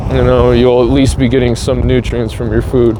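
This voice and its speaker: The man's medium-pitched voice comes at a moderate pace, with noticeable background noise behind it. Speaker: vlogger. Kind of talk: casual monologue. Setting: outdoors on a scooter.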